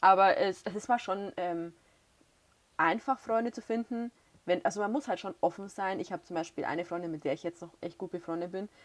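Speaking at a fairly quick pace, a woman uses a medium pitch and ordinary pitch variation in a very clean recording with a silent background. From Bavaria. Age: 20s. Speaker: former au pair, student teacher. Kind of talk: casual interview.

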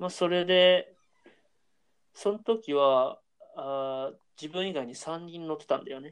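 Here a man speaks with a high pitch. His pace is fairly slow. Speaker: university student, podcast co-host. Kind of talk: casual chat.

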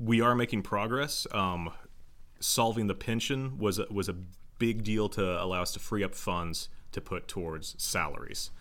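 With an American accent, a man speaks at a moderate pace and a fairly low pitch, with ordinary pitch variation. Audible room echo surrounds his voice. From Joplin, Missouri (US Midwest). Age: 30s. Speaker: city council candidate. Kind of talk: interview.

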